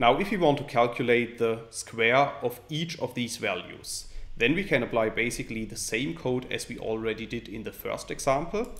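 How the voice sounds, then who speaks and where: The voice moves at a moderate pace with ordinary pitch variation and hardly any pauses. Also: man. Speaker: programming tutor. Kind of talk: tutorial.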